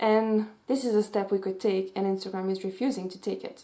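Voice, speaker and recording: A woman speaks in a Swiss French accent. Her pace is moderate. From French-speaking Switzerland. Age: 20s. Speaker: youtuber and mental health advocate. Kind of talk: vlog commentary. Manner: animated.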